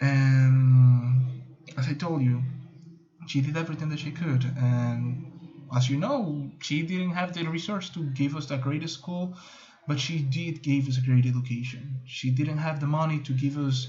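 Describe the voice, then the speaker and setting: A man speaks at a fairly slow pace with a fairly high pitch and fairly even intonation. There is audible room echo around his voice. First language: Spanish. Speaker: student. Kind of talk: class video presentation. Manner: halting.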